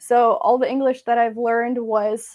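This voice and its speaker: Here a woman speaks at a fairly slow pace. Her pitch is fairly high. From US, Massachusetts (born in Belarus, moved at five). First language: Russian. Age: 20s. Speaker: witchcraft YouTuber. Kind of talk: casual live-stream Q&A chat. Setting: live stream at home.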